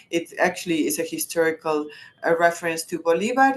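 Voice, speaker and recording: The speaker is a woman with a Spanish accent. The background is quiet. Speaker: journalist and commune activist. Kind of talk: webinar presentation. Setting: online webinar. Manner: halting, many restarts.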